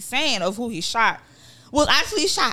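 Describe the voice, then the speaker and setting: A woman's animated voice, bright and sharp in tone. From Nigeria. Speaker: podcast co-host. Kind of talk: casual chat.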